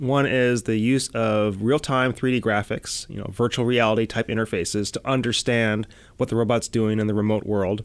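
A man with a plain, everyday voice speaks at a medium pitch and moderate pace, with fairly even intonation and hardly any pauses, on a very clean recording with a silent background. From US Midwest, Chicago. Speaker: NASA robotics scientist. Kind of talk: interview.

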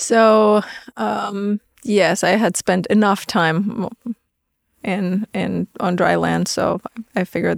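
A woman speaks with a Romanian accent, recorded dry and close with no echo. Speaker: navy microbiologist. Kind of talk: interview.

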